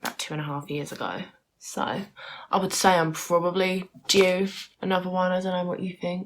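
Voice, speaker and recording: Speaking with a British accent, a woman delivers fairly low-pitched, monotone, flat lines on a very clean recording with a silent background. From United Kingdom. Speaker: vlogger. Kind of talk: casual talk to camera.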